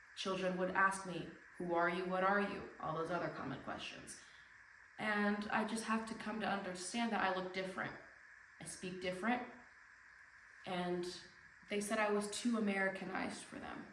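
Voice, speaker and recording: A woman speaks at a moderate pace with fairly even intonation and long, frequent pauses. The room echo is audible, and background noise is noticeable. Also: medium pitch for a woman. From Tijuana, Mexico and US. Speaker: speaker. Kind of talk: speech. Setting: stage with audience.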